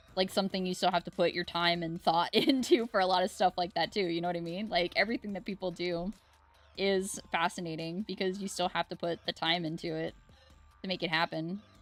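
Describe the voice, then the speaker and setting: Music plays in the background while a woman speaks with a fairly low pitch and fairly even intonation. She goes at a fairly quick pace, with a dry, close sound and no echo. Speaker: art streamer. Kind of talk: casual chat. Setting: live stream. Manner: loud.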